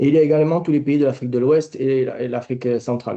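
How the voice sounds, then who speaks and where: A man speaks with a southern French accent. His tone is dark and mellow. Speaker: company director, export testimony. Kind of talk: webinar testimony.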